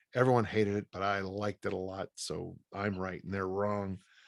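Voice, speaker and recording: In a dry, close sound with no echo and a very clean recording over a silent background, a man with an American accent talks at a fairly low pitch in a monotone, flat intonation. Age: 60s. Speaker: strength coach and author. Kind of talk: interview. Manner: casual, halting with false starts.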